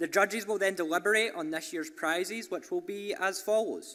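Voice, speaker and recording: A man's bright, sharp tone in a Scottish accent. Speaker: entrepreneurship program leader. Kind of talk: event speech. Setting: stage with audience.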